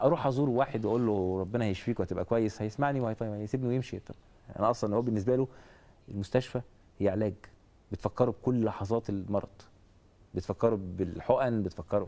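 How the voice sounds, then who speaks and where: A man's fairly low-pitched voice with a dark, mellow tone at a fairly quick pace. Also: ordinary pitch variation. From Egypt. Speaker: athlete and cancer survivor; guest. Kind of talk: interview; interview answer. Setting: studio. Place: studio. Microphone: lapel.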